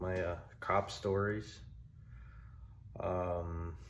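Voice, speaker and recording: Audible room echo surrounds a man whose very deep, low voice carries fairly even intonation. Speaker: vlogger, former Marine and ex-cop. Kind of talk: casual self-introduction to camera. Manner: monotone; awkward, hesitant with fillers.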